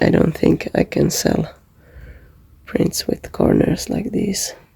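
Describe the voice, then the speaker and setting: Quiet, very slow speech in a Finnish accent. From Finland. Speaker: vlogger and convention artist. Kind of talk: casual vlog.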